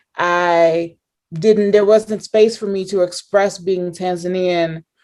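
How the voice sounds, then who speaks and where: A woman's medium-pitched voice with an American accent, very slow and flat in a monotone. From US Midwest (Euclid, Ohio, near Cleveland). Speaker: professor. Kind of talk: interview conversation.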